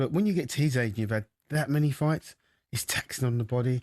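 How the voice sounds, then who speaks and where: In a dry, close sound with no echo and a quiet background, a man speaks at a very fast pace with a medium pitch and ordinary pitch variation. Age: 60s. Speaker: former boxer, boxing pundit. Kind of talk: radio sports discussion. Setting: radio studio.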